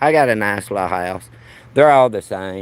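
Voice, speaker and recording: With a Southern US accent, the speaker talks at a moderate pace with ordinary pitch variation. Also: man. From Alabama, US South. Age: 50s. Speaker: livestreamer. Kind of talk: casual live-stream walk commentary. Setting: outdoors, walking in a neighborhood. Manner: casual, chatty.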